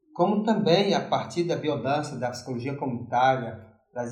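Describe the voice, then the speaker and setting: A somewhat breathy voice with lively intonation speaks at a fairly slow pace amid audible room echo. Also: man. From Fortaleza, Ceará, Brazil (youth in Brasília). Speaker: psychology professor and consultant. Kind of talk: interview.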